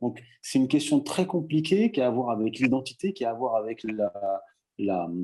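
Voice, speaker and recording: A man's dark, mellow voice at a moderate pace with lively intonation. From Morocco. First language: Berber (Tamazight) (speaking French). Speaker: writer. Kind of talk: debate. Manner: halting, many repetitions.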